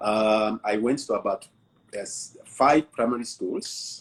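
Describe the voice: Slightly husky at the edge, a man speaks slowly at a fairly low pitch with ordinary pitch variation.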